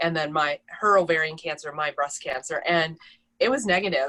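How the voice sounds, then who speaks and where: A woman with a Minnesotan accent, a bright, sharp tone, ordinary pitch variation and a moderate pace, in a dry, close recording with no echo. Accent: Minnesota. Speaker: breast cancer survivor. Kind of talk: personal testimony.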